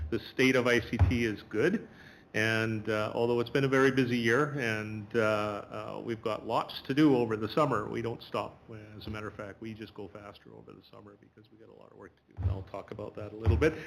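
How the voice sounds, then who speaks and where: A man with a Manitoban accent talks at a fairly quick pace and a fairly low pitch. His intonation is fairly even, while his loudness swings widely. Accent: Canadian (Manitoba). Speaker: school division IT department head. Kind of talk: presentation to a board. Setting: board meeting room.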